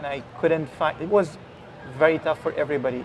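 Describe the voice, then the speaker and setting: Over noticeable background noise, a man with an Arabic accent talks at a fairly quick pace with fairly even intonation. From Egypt. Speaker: virologist. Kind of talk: interview. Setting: live event broadcast.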